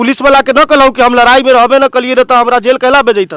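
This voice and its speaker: A man with an extremely high pitch and a bright, sharp tone projects his raised voice with fairly even intonation, in a dry, close sound with no echo. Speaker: news reporter. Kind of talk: field news report to camera.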